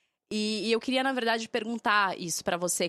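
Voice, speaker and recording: Recorded very cleanly against a silent background, a woman with a medium pitch and lively intonation sounds dry and close with no echo. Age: 30s. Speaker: podcast co-host. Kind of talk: casual chat.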